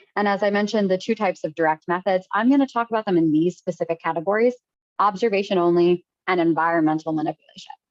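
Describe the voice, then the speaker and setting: A woman at a very fast pace, medium pitch and ordinary pitch variation. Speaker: trainer. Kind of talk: lecture.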